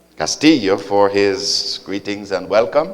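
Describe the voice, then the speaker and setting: This is a man speaking. His pace is very slow. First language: English (speaking Spanish). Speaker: visiting pastor. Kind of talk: sermon with interpreter.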